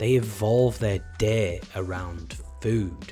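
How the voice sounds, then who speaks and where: Over music in the background, a speaker with an English accent talks at a very slow pace with ordinary pitch variation. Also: man. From England. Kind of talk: casual talk to camera.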